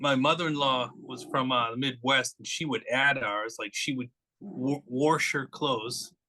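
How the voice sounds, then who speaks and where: With a Boston accent, a man speaks at medium pitch and a fairly slow pace. His bright, sharp tone holds fairly even intonation despite big swings in loudness. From Boston, Massachusetts. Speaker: author. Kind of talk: casual chat.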